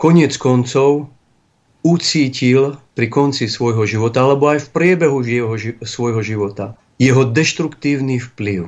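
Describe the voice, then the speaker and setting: An ordinary speaking voice, a man's at medium pitch, fairly slow with ordinary pitch variation, over a quiet background. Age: 40s. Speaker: bishop. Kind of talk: religious talk show interview. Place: studio.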